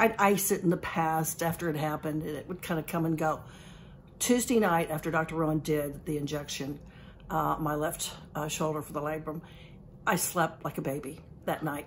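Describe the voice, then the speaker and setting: With light background noise, a woman with a very deep, low pitch talks at a moderate pace. Her intonation stays fairly even. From Kentucky. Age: 70s. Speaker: patient. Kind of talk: testimony. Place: office. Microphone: phone near.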